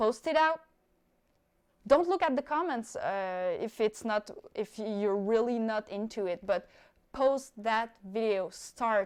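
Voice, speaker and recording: A woman with a non-native accent speaks at a very slow pace in a fairly high pitch, her intonation lively, on a very clean recording with a silent background. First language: not English. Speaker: skydiver and YouTuber. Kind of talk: live stream Q&A. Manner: casual, with fillers.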